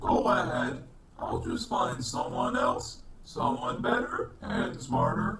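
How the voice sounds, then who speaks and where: A man puts on a character voice, pitched fairly high and paced fairly slowly, over clear background noise. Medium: comedy sketch. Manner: curt, dismissive.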